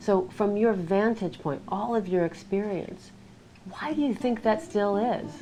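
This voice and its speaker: Using a plain, everyday voice, a woman speaks at a medium pitch and a fairly slow pace with lively intonation. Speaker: interviewer. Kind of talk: interview questions.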